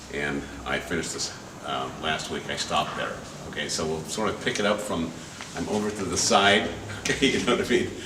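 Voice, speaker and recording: Very deep and low-pitched, a man talks at a fairly quick pace with lively intonation and long, frequent pauses. The recording has audible room echo and noticeable background noise. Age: 70s. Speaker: performance artist. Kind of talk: storytelling performance. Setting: gallery with live audience. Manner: halting, many fillers.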